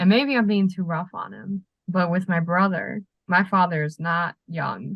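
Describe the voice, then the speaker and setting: At a fairly slow pace, a woman speaks with a somewhat breathy, fairly low voice. The sound is dry and close with no echo. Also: ordinary pitch variation. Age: young. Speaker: podcast guest. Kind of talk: casual chat.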